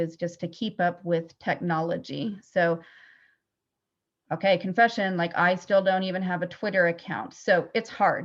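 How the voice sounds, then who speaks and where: A plain, everyday voice speaks with fairly even intonation. The background is quiet. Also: woman. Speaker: school psychologist. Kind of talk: webinar presentation.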